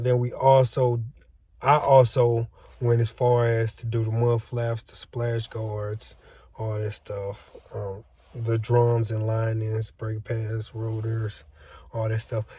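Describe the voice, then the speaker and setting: Very slowly, a man of medium pitch speaks in a dark, mellow, somewhat breathy voice, his intonation flat and monotone and his loudness swinging widely. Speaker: trucking student vlogger. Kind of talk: casual vlog. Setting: on lunch break at training range.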